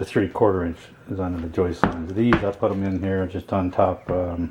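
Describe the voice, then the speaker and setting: Over noticeable background noise, a man with a very deep, low voice mumbles in a monotone, flat way. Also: moderate pace. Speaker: DIY home repairer. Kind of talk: casual DIY narration while working. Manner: mumbling, rambling. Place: home room. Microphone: phone near.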